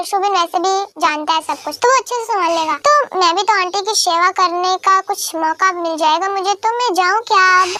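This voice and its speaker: A woman puts on a character voice at an extremely high pitch, moving at a fairly quick pace with ordinary pitch variation. The sound is dry and close, with no echo. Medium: fan dub. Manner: polite, warm.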